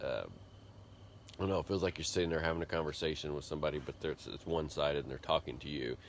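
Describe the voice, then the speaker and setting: Mumbling at a very fast pace, a man speaks with a very deep, low pitch and vocal fry. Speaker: vlogger, computer programmer. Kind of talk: casual vlog monologue.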